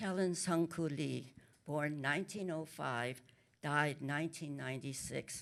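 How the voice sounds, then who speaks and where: A woman talks at a fairly slow pace. Her voice is very deep and low in pitch. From Korea. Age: 80s+. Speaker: author. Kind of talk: panel talk. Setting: stage with audience. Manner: halting.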